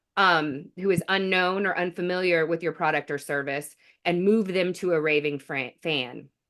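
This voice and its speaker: With a plain, everyday voice, a woman talks at a moderate pace. Her fairly low pitch stays fairly even in intonation. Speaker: marketing director. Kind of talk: podcast interview.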